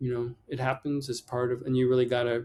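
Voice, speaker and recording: Medium pitch and a dark, mellow tone from a man. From Pennsylvania. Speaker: artist and acupuncturist. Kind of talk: interview conversation. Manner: hesitant, many fillers.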